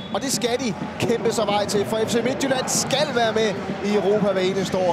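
A man's high voice at a moderate pace, with fairly even intonation and noticeable background noise. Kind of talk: live sports commentary.

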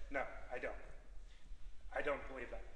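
Audible room echo surrounds the man speaking. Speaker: public candidate. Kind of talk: debate answer. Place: hall. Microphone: camera far.

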